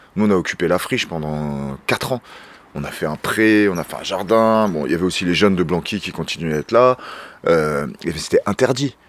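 With a very deep, low pitch and lively intonation, a man speaks at a moderate pace over noticeable background noise. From France, Seine-Saint-Denis (Paris suburbs). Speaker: urban shepherd, association founder. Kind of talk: casual interview, guided tour. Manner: casual, hesitant with fillers.

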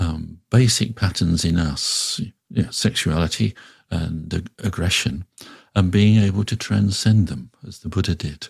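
Somewhat breathy and fairly low in pitch, a man talks at a fairly slow pace with ordinary pitch variation. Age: 60s. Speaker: Buddhist teacher. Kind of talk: reflective interview conversation. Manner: hesitant, thoughtful, many fillers.

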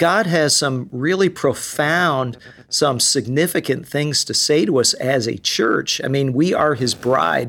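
A man with a plain, everyday voice, fairly high in pitch, with ordinary pitch variation and hardly any pauses, on a very clean recording with a silent background. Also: fairly slow pace. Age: 60s. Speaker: worship pastor. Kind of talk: casual chat.

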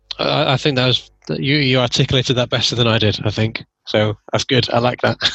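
With an English accent, a man talks at a fairly quick pace with hardly any pauses, very even loudness, a medium pitch and ordinary pitch variation. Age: middle-aged. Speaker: podcast host. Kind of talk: interview conversation. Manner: halting.

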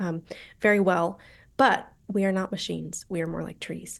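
A woman's fairly quick speech in an American accent. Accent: American, general. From Colorado, US. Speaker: author and university lecturer. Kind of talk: interview discussion.

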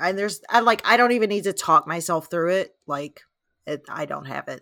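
Speaking at a moderate pace, a woman shows lively intonation and vocal fry. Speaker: trivia contestant. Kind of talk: trivia game play.

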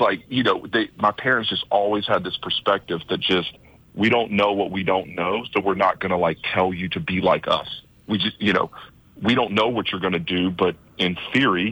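With an American accent, a man uses an ordinary speaking voice at a fairly low pitch, fairly even intonation and a moderate pace. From US South, Georgia (small town near Atlanta). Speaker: tech entrepreneur, startup event organizer. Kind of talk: radio interview.

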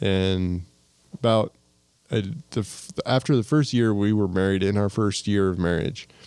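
In a plain, everyday voice, a man with an American accent talks at a fairly low pitch and a moderate pace with ordinary pitch variation. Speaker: local business owner. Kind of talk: casual chat.

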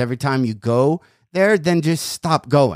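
The sound is dry and close with no echo as a man with an ordinary speaking voice and a fairly high pitch talks at a moderate pace. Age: 40s. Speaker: comedian and podcast host. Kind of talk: casual chat.

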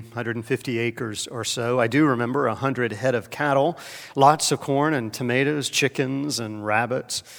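A moderate pace in a South Carolina accent, with fairly even intonation. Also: man. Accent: Southern US (South Carolina). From US South, Columbia, South Carolina. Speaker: pastor. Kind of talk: sermon.

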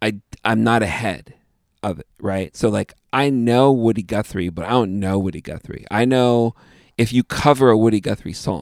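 A man with an unremarkable speaking voice and fairly low pitch talks with ordinary pitch variation, the recording very clean with a silent background and a dry, close sound with no echo. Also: moderate pace. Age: 30s. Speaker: podcast host and musician. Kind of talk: casual interview conversation.

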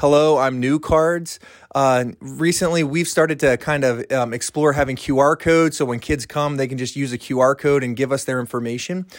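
An unremarkable speaking voice, a man with an American accent talks at a moderate pace and fairly high pitch, with ordinary pitch variation, on a very clean recording with a silent background. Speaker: student ministry pastor. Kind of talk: recorded talk.

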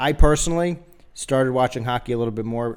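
At a fairly quick pace, a man with an ordinary speaking voice talks with ordinary pitch variation. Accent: American. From Philadelphia, US. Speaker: sports podcast host. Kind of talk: casual chat. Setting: studio.

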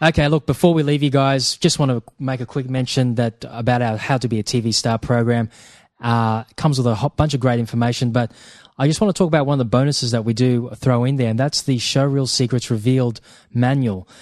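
A man with an unremarkable speaking voice, medium pitch, fairly even intonation and a fairly quick pace, in a dry, close sound with no echo over a quiet background. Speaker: co-host and production company co-founder. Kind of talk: educational podcast talk. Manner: conversational with many filler words.

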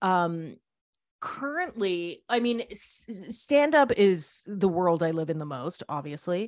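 Speaking very slowly in a Canadian accent, a woman uses a medium pitch. Her pitch swings very widely, and her loudness rises and falls a great deal. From Canada. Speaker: radio host and record label founder. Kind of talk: interview.

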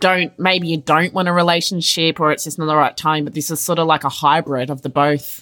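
With an Australian accent, a woman speaks at a fairly quick pace with hardly any pauses, her very deep, low pitch held in a flat monotone and her tone bright and sharp, on a very clean recording with a silent background. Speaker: podcast host. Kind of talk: casual chat.

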